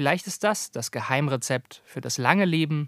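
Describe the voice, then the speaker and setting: In a very clean recording with a silent background, a man has an ordinary speaking voice at a moderate pace. The sound is dry and close with no echo, and his pitch variation is ordinary. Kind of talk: TV documentary narration.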